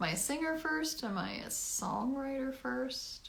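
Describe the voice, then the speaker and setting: A high-pitched woman's voice with very wide pitch swings at a very slow pace, amid audible room echo. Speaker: singer-songwriter. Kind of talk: livestream talk to viewers. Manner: projected, good breath support; halting, many ums.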